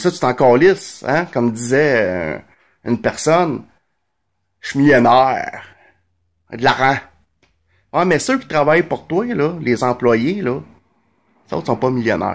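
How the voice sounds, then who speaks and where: In a Montreal accent, a man speaks at a very slow pace with long, frequent pauses. His intonation is lively, and the background is quiet. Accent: Quebec French, Montreal. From Quebec, Montreal (Verdun); Quebec. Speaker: vlogger. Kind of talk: casual monologue commentary. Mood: sarcastic, indignant. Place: home room. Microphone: phone near.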